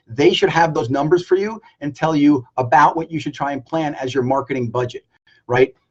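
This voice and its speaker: Somewhat breathy, a man with a fairly high voice talks at a moderate pace with ordinary pitch variation. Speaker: business coach. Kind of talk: live stream Q&A. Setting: Facebook live video. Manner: high energy.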